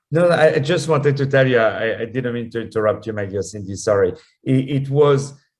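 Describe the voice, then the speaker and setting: Somewhat breathy and in a French accent, a man at medium pitch speaks at a fairly quick pace. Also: ordinary pitch variation. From France (Paris). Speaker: opera singer and actor. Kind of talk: radio interview. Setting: talk radio interview. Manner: halting, many fillers and repeats.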